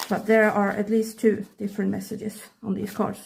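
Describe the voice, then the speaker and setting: This woman has a medium pitch and a somewhat breathy voice. She talks at a fairly quick pace with monotone, flat intonation. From Sweden, countryside. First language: Swedish. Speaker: K-pop photocard collector, hobby vlogger. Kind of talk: casual hobby vlog, talking while sorting cards. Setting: at home, countryside. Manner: halting, searching for words.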